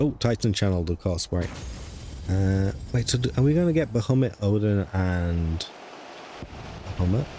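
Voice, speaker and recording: With a British accent, a man with a fairly low pitch speaks at a moderate pace with lively intonation, very even loudness and long, frequent pauses. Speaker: gaming streamer. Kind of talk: live gameplay commentary. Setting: live stream.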